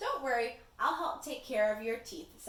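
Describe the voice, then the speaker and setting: The speaker uses a put-on character voice. There is a slight echo. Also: woman, high pitch for a woman, moderate pace. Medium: read story.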